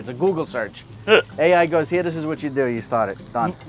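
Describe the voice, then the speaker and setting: Over music in the background, a man with a New York accent talks at a fairly quick pace in a fairly high pitch, with lively intonation. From Queens, New York. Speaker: cooking show host. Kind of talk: casual cooking show talk. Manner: joking, casual.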